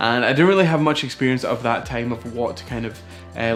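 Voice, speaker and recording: Over music in the background, a man at a medium pitch talks at a fairly quick pace with ordinary pitch variation. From Aberdeenshire, Scotland. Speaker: photographer and vlogger. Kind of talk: casual talk to camera.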